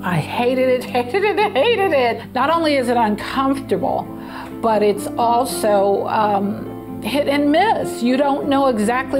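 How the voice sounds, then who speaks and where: A woman talks fairly slowly. Music plays clearly behind her. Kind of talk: interview answer. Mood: upbeat, laughing at times. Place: home room.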